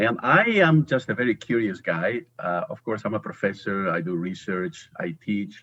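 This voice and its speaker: This man has a Spanish accent and a fairly low pitch. His intonation is lively and his pace moderate. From Spain. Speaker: professor. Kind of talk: interview.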